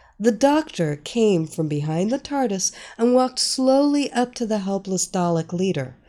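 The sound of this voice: Lively intonation runs through this unforced reading voice.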